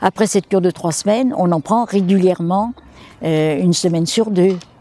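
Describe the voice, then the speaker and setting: At a fairly slow pace, a woman speaks in a dark, mellow tone at medium pitch, recorded with a dry, close sound and no echo. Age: 80s+. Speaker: clay therapy practitioner. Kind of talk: interview answer. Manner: lively.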